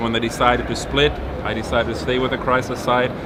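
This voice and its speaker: A man with a medium-pitched voice talks at a fairly quick pace amid noticeable background noise and audible room echo. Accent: German. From Germany. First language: German. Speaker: car designer. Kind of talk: interview.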